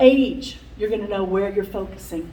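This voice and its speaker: Audible room echo follows a woman speaking at a moderate pace with ordinary pitch variation. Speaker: workshop speaker. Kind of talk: conference talk. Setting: conference room with microphone. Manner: loud.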